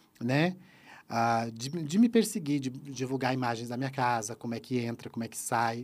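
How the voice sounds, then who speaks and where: A man talks at a moderate pace with a medium pitch and ordinary pitch variation. His loudness swings widely from moment to moment. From Santa Catarina, southern Brazil. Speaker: YouTube presenter and former celebrity impersonator. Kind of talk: casual chat.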